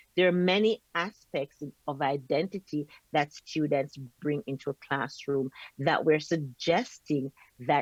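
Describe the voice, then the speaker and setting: In a Jamaican accent, a woman speaks at a very slow pace and a very deep, low pitch with lively intonation, in a dry, close sound with no echo. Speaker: professor. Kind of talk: lecture. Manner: slow and deliberate.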